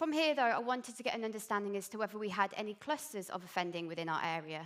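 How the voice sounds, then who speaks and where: Speaking at a very fast pace, a woman uses a fairly high pitch and lively intonation. She has a slight Birmingham accent. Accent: slight Birmingham twang. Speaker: police intelligence analyst. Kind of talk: conference presentation. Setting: stage with audience.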